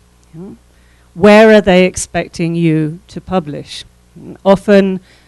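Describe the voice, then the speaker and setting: A woman with an English accent speaks very slowly at medium pitch with fairly even intonation, the sound dry and close with no echo. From England. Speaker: professor. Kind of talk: workshop lecture.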